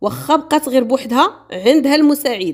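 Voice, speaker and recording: A woman talks at a moderate pace. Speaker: true crime storyteller. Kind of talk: storytelling narration. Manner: casual, conversational.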